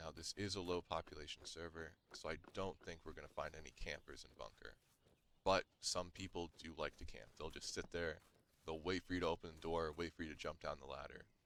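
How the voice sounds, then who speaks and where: Very deep and low, a man's voice moves at a fairly quick pace with vocal fry, fairly even intonation, and big swings in loudness. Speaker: gaming youtuber. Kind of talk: gameplay tutorial. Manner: fast.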